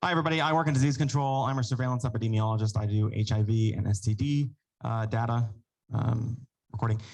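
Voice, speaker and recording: On a very clean recording with a silent background, a man talks at a very fast pace in a medium pitch, somewhat breathy, with ordinary pitch variation. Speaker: epidemiologist presenting data. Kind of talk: presentation at council meeting.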